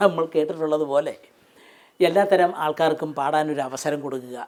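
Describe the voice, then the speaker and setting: A man speaks in an ordinary speaking voice at a fairly high pitch. His intonation stays fairly even. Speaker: former radio broadcaster. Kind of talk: interview answer.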